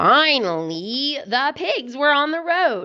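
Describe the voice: A woman's bright, sharp tone with big pitch swings at a slow pace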